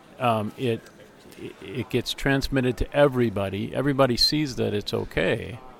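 With noticeable background noise behind him, a man speaks at a moderate pace in a medium pitch with ordinary pitch variation. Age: 50s. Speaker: interviewer. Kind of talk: interview conversation. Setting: conference interview.

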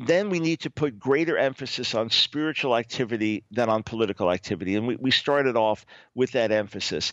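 This is a plain, everyday voice from a man at a medium pitch. He talks at a fairly quick pace with ordinary pitch variation. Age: 60s. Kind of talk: radio interview.

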